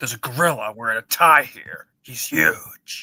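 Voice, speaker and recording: A put-on character voice growls at a moderate pace, with a dry, close sound and no echo. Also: man. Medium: game stream. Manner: terse, gravelly.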